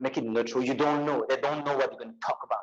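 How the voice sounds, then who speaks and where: A man is speaking. He has a strong French accent. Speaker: public speaking coach. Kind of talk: workshop lecture. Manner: animated.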